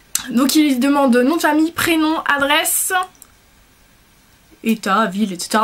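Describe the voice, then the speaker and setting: Over noticeable background noise, a woman talks. Her intonation is lively. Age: 20s. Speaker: vlogger. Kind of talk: casual chat. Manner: fast; hesitant.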